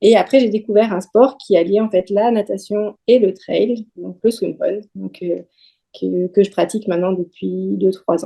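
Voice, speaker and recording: At a fairly slow pace, a woman talks in a dark, mellow tone. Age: 30s. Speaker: radiology technician and amateur athlete. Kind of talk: podcast interview.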